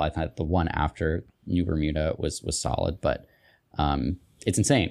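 A man with an American accent has a very deep, low pitch. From Utah. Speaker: writer. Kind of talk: casual chat. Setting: video call.

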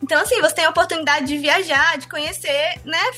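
Speaking at a fairly quick pace, a woman raises and projects her voice with ordinary pitch variation over noticeable background noise. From Ceará interior (Sobral region), Brazil. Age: 20s. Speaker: former student. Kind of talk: interview testimony.

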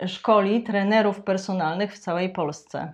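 A woman talks at a fairly slow pace in a normal speaking voice, at medium pitch. The background is quiet. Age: middle-aged. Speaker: podcast host. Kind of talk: interview. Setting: studio.

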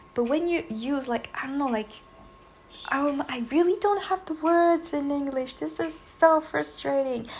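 Speaking fairly slowly with a non-native accent, a woman uses a high pitch and ordinary pitch variation. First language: not English. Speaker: solo podcaster. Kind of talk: casual monologue. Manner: halting, with fillers and laughs.

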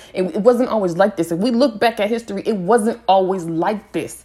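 Speaking at a fairly quick pace, a woman uses a medium pitch. Her pitch variation is ordinary. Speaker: podcast host. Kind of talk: casual rant. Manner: unscripted, hesitant.

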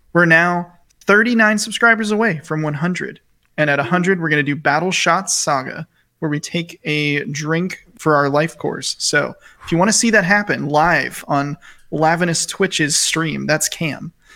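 The voice is quiet, with a bright, sharp tone. It moves at a moderate pace with ordinary pitch variation. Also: man, high pitch for a man. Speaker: podcast co-host. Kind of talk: casual chat. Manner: quiet voice for a segment.

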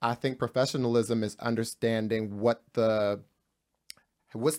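In a very clean recording with a silent background, a man speaks at a medium pitch in an ordinary speaking voice. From New Jersey. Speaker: podcast host. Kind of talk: casual panel discussion.

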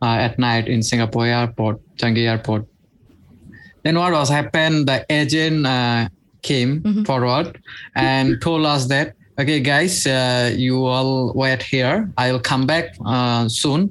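In a very clean recording with a silent background, a man with a Bengali accent speaks at a medium pitch and a fairly slow pace, with ordinary pitch variation and very even loudness. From Bangladesh. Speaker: migrant worker. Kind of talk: interview. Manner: halting.

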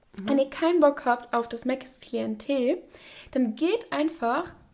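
Animated in tone, a woman speaks at a high pitch with ordinary pitch variation. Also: long, frequent pauses, big swings in loudness. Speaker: podcast host. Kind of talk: casual chat. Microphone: new microphone setup.

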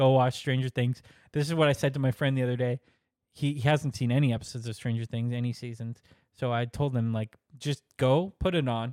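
At a fairly quick pace, a man speaks in a plain, everyday voice of medium pitch with fairly even intonation, on a very clean recording that sounds dry and close, with no echo and a silent background. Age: 30s. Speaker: movie podcast co-host. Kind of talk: casual chat. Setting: home recording with headphones and laptop.

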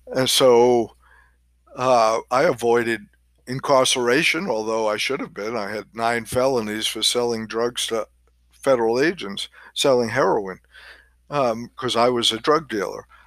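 A man's medium-pitched voice, a plain, everyday voice, at a moderate pace with ordinary pitch variation, very clean recording and silent background. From New York, Queens. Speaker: podcast host. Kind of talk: monologue podcast.

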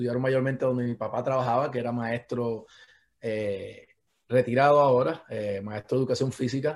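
A man speaks in an ordinary speaking voice at medium pitch. His pace is moderate and his pitch variation ordinary. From Puerto Rico, Patillas. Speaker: sports medicine doctor. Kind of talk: casual interview.

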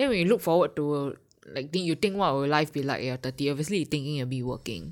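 In a very clean recording with a silent background, a woman with a very deep, low voice speaks very fast in an animated tone with lively intonation. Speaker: podcast co-host. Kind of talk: casual chat.

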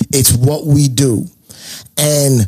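With music playing in the background, a man speaks with an American accent. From New York. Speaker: DJ and comedian. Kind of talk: casual chat.

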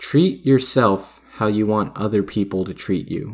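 Recorded very cleanly on a silent background, the speech comes at a fairly slow pace with ordinary pitch variation. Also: man. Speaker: solo podcaster. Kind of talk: casual monologue. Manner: rambling with many fillers.

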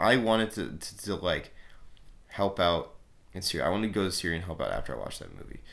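A man with a Canadian accent, at a very fast pace with fairly even intonation and audible room echo. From Canada. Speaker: film podcast host. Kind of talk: casual solo talk. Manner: hesitant, many fillers.

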